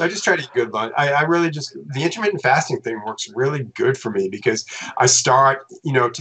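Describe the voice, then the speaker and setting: A man with an unremarkable speaking voice talks at a fairly quick pace. His pitch is fairly high and his intonation lively. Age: 60s. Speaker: tech company employee. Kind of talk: casual chat.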